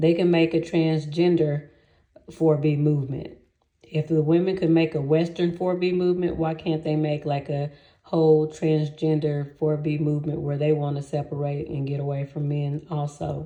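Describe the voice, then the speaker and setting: Flat, monotone intonation at a moderate pace. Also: woman, very deep, low pitch for a woman. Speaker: YouTuber. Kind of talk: casual vlog monologue. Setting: sitting in a bathtub.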